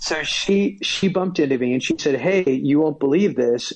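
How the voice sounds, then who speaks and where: A man with an American accent and an ordinary speaking voice talks at a moderate pace, his fairly high pitch showing ordinary variation. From United States. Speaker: stand-up comedian. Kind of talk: casual chat.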